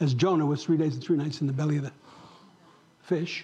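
With audible room echo, a man's dark, mellow tone sits at a fairly high pitch. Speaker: pastor. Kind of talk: sermon. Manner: animated.

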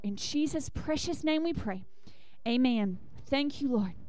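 Speaking with a Southern US accent, a woman has a high-pitched voice. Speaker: church leader. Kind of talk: church announcements. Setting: church.

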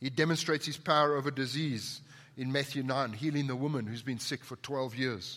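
A man speaks at a fairly quick pace with a South African accent and a medium pitch. His tone is bright and sharp, on a very clean recording with a silent background. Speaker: pastor. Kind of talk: sermon. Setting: church.

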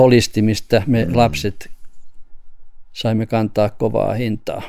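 A man's dark, mellow voice at a fairly slow pace, with ordinary pitch variation. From Finland, Vaasa. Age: 70s. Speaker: emeritus professor of education. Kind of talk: radio interview.

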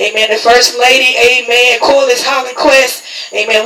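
A man's raised, projected voice at an extremely high pitch, warm in tone, with a Southern US accent, monotone, flat intonation and moderate pace over noticeable background noise. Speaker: church host introducing speaker and closing the service. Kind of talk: church service MC, call-and-response prayer and announcements. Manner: warm, repetitive with frequent 'Amen'.

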